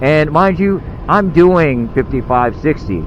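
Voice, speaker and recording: Over noticeable background noise, a man speaks in a fairly high pitch. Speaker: motovlogger. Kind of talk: casual vlog narration while riding. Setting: on a motorcycle, outdoors. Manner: loud.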